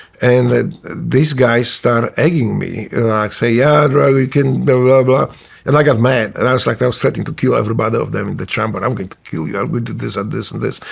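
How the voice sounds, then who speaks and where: A man with a Polish accent at a very fast pace. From Poland. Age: 60s. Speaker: retired Navy SEAL. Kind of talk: casual interview storytelling. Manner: halting, many fillers and restarts.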